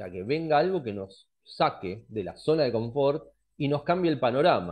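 Speaking at a moderate pace, a man with a fairly high pitch makes very wide pitch swings and big swings in loudness. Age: 40s. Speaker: astrologer; presenter. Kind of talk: lecture. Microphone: headset.

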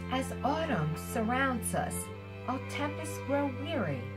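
A woman at a very slow pace over loud music in the background. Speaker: amateur poet. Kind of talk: poetry reading. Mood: warm, expressive. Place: home room. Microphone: camera far.

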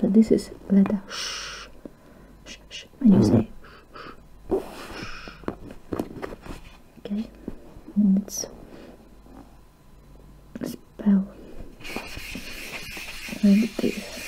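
A woman whispers very slowly, with long, frequent pauses and big swings in loudness. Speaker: ASMR creator. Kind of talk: ASMR teacher roleplay lesson. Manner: soft-spoken. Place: home room. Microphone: webcam.

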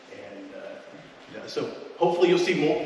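A man's voice comes through with noticeable background noise and strong room echo. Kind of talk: town hall address. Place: hall. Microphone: camera far.

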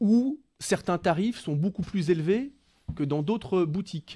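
The tone comes across dark and mellow. Delivery is fairly slow. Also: man, quiet background. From France, Loire (Saint-Étienne area); France. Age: 30s. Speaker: local politician; local politician guest. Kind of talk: radio interview. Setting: radio studio. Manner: hesitant, with many fillers and repetitions. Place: studio. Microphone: studio mic.

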